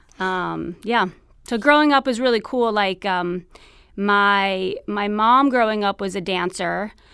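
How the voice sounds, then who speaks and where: A woman speaks at a fairly slow pace. She has a strong New York accent. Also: medium pitch for a woman, ordinary pitch variation. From New York City, Queens. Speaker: TV producer, expectant mother. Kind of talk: interview conversation.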